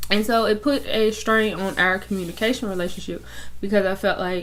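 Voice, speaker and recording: With audible room echo, the speaker talks at a moderate pace with ordinary pitch variation. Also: woman. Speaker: YouTuber. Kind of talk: personal testimony. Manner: loud; animated.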